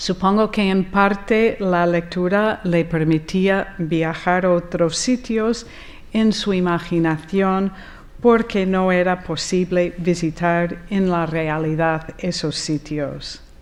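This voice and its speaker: Speaking very slowly with an American accent, a woman keeps a medium pitch and fairly even intonation. The recording is very clean, the background silent. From US, Rochester, New York. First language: English (speaking Spanish). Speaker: architect, conference speaker. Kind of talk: conference talk, personal account. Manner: hesitant, with fillers.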